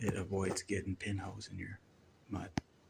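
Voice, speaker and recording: A quiet, fairly low-pitched male voice. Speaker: painting and drywall contractor. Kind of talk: casual tutorial vlog. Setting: indoors in an office building.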